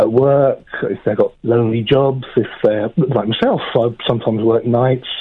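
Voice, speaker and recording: This man has an unremarkable speaking voice, medium in pitch and fairly even in intonation. He keeps a moderate pace with hardly any pauses. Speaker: radio caller. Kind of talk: phone-in conversation. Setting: phone call.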